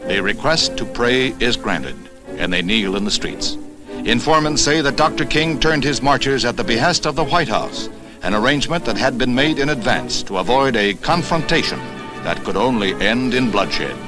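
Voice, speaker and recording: Music plays in the background as a man talks with lively intonation and very even loudness. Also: medium pitch for a man, moderate pace. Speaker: newsreel narrator. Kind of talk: 1960s newsreel narration. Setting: archival film soundtrack, recorded 1965.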